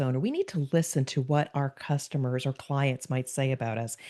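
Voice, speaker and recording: A woman speaks in a very deep, low pitch with a dark, mellow tone and fairly even intonation. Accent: New Jersey. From US Northeast, New Jersey. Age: 60s. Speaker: business consultant and podcast guest. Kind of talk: podcast interview.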